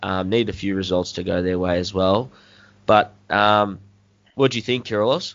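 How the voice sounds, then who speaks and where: At a moderate pace, a man with an Australian accent talks at a fairly low pitch with fairly even intonation. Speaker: podcast host. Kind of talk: casual chat.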